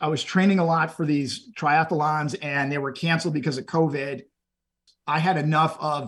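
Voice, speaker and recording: A man with an American accent speaks in an unremarkable speaking voice, fairly high for a man, at a fairly quick pace. His intonation is fairly even, and the recording is very clean with a silent background. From Texas, Houston area. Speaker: endurance event participant. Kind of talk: interview.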